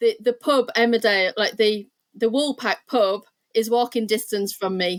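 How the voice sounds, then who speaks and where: A Yorkshire accent in a dry, close sound with no echo. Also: woman, fairly high pitch for a woman, fairly even intonation, moderate pace. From northern England, Leeds, Yorkshire. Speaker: art therapist. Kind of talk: interview.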